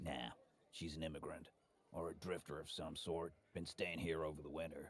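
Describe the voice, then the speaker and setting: In a put-on character voice, a man speaks at a moderate pace with a very deep, low pitch and monotone, flat intonation. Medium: video game. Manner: gruff, curt.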